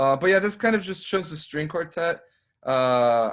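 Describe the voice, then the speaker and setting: With a Spanish accent and lively intonation, a man speaks on a very clean recording with a silent background. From Mexican-American. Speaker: composer. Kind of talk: casual chat.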